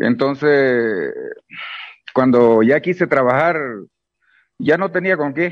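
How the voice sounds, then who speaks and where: Speaking at a very slow pace, a man leaves long, frequent pauses, his pitch fairly high. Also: ordinary pitch variation. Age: 50s. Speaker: unemployed accountant on protest march. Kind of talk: phone interview.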